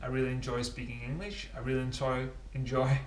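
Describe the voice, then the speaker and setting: A somewhat breathy voice in a Danish accent with audible room echo. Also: man. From Denmark. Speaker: cycling vlogger. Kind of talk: casual vlog talk to camera. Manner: halting with many fillers.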